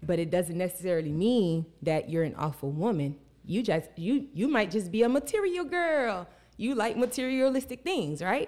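Very wide pitch swings at very even loudness, on a very clean recording with a silent background. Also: woman, medium pitch for a woman, moderate pace. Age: 30s. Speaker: life coach and rapper. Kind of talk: casual chat.

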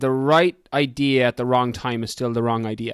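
An Irish accent from a man at medium pitch, enthusiastic and animated in tone, at a moderate pace on a very clean recording with a silent background. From Ireland. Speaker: fitness coach and podcaster. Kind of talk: casual interview chat. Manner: enthusiastic, animated.

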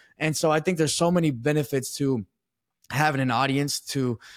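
A man with a plain, everyday voice, fairly quick in pace, with fairly even intonation, on a very clean recording with a silent background. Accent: American. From Texas. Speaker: sports podcaster. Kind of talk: interview.

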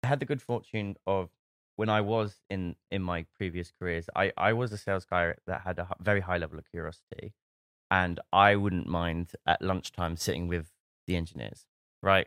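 On a very clean recording with a silent background and a dry, close sound with no echo, a man with an English accent speaks at a moderate pace, his very deep, low pitch showing ordinary variation. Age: 30s. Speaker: startup founder. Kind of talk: casual interview.

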